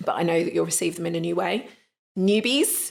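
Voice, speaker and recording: A woman's fairly low voice with vocal fry and a British accent. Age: 30s. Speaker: energy healing coach. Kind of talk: live online training talk. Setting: live online training session.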